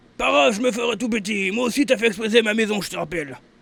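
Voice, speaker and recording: A raspy put-on character voice at a very fast pace. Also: man, high pitch for a man. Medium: machinima. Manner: barking, insulting.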